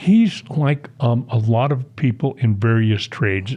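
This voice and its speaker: A man speaks with a somewhat breathy voice. His pitch varies in an ordinary way. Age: 70s. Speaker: veteran waterfowl hunter and dog owner. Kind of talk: podcast interview. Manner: halting, many fillers.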